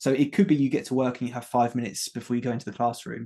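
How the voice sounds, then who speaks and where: A man's medium-pitched voice in an English accent, with a dark, mellow tone and fairly even intonation. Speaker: former teacher turned health coach. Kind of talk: interview chat. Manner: fast.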